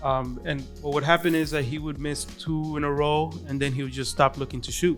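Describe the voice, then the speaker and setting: A man speaks at a fairly quick pace with fairly high pitch and fairly even intonation while music plays in the background. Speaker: podcast guest. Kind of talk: casual podcast conversation.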